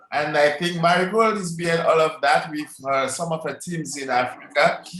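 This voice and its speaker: High-pitched male speech in a Caribbean accent at a moderate pace, with noticeable background noise. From Dominica, Caribbean. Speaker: network marketing presenter. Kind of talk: online sales presentation. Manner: hesitant, many fillers; enthusiastic.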